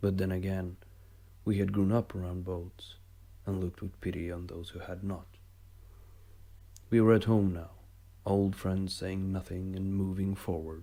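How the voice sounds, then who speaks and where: Calm and flat in intonation, a man with a non-native accent speaks in a very deep, low pitch with a dark, mellow tone, leaving long, frequent pauses. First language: not English. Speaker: amateur writer reading own stories. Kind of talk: reading aloud.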